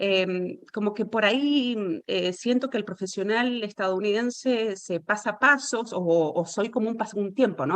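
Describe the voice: A woman talks at a moderate pace, and her pitch moves in an ordinary way.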